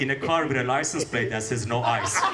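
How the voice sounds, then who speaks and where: A man with a non-native accent at a fairly quick pace, amid audible room echo and noticeable background noise. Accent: foreign. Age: old. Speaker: stand-up comedian. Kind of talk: stand-up. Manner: fast; uniform pace.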